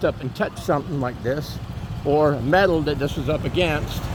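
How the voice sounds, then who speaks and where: A fairly quick, American-accented delivery with ordinary pitch variation over noticeable background noise. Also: man. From Florida, US. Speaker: vlogger. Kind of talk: casual walking vlog narration. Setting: outdoors, walking in neighborhood. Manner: conversational, with fillers.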